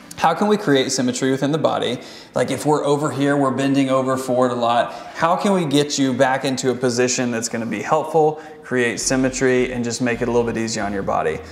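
Very fast speech with ordinary pitch variation and audible room echo. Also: man. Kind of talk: explanation to a client. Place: gym.

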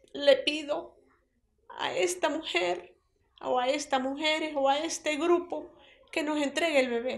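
A woman's high-pitched voice at a very slow pace. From Venezuelan Andes, Mérida state. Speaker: grandmother of a kidnapped baby. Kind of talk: public appeal. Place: home room.

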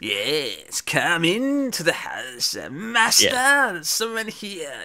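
A man uses a put-on character voice, high in pitch, raised and projected. He speaks at a very slow pace over light background noise. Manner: obsequious, eerie.

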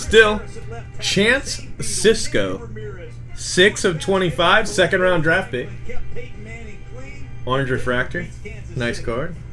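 The speech moves at a very slow pace with long, frequent pauses. Clear music plays in the background. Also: man. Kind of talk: casual live-stream commentary. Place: home room. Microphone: webcam.

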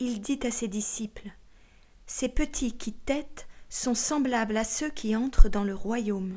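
A woman speaks at a very slow pace in a solemn tone with a fairly high pitch. Her loudness swings widely. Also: ordinary pitch variation. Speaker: audiobook narrator. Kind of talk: scripted audiobook reading of sacred text, solemn and literary. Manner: slow, measured, solemn; formal, meditative, with deliberate pauses between sayings.

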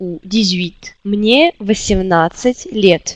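A woman with a Russian accent, ordinary pitch variation, and a dry, close sound with no echo. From Russia, Siberia. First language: Russian (speaking French). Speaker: language teacher. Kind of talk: tutorial. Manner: slow, repetitive drilling.

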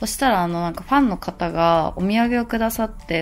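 Faint background music behind a woman speaking. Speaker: fitness vlogger. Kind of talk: casual vlog chat.

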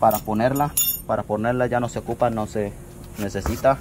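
A man's fairly even intonation and moderate pace come through amid light background noise. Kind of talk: tutorial. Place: garage. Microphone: phone near.

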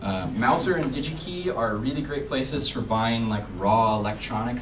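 Ordinary pitch variation from a man's voice, set against noticeable background noise. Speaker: student maker and conference speaker; conference speaker. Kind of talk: conference talk. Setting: stage with audience. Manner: halting, many fillers. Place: hall. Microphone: camera far.

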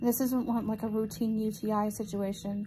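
Over light background noise, a woman talks at a fairly quick pace in a tired, dark, mellow tone with monotone, flat intonation. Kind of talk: casual vlog chat. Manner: weak, tired voice of an ill patient. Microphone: phone near.

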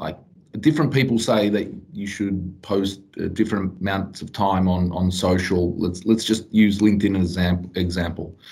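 Fairly low in pitch, this man's voice shows ordinary pitch variation. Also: moderate pace. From western suburbs of Melbourne, Australia. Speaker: podcast host, salesperson. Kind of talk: casual interview. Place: office. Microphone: video call.

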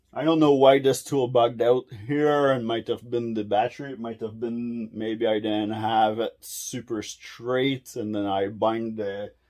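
In a quiet setting, a man talks and his intonation stays fairly even. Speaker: tool reviewer. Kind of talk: casual vlog chat. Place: workshop. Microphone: phone near.

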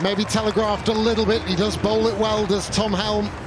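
A man with a high-pitched voice talks over crowd noise in the background. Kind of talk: sports commentary.

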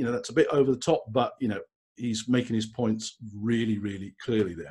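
A man with an English accent, a dark, mellow tone, medium pitch and ordinary pitch variation. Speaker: LinkedIn trainer and speaker. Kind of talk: webinar presentation. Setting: live webinar from home. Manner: brisk.

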